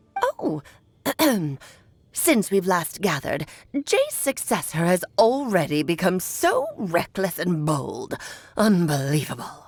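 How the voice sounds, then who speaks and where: A woman's put-on character voice, medium in pitch, at a fairly slow pace with long, frequent pauses. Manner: scornful.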